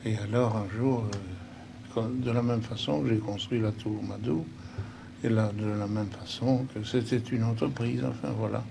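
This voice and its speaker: A man talks with a fairly low pitch and ordinary pitch variation. Audible room echo and noticeable background noise fill the recording. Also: fairly slow pace. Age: 70s. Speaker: senator and businessman. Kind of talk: documentary interview.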